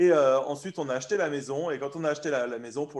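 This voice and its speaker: A very fast-talking man with fairly even intonation, over noticeable background noise. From France. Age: 30s. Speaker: barbecue blogger. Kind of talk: casual interview.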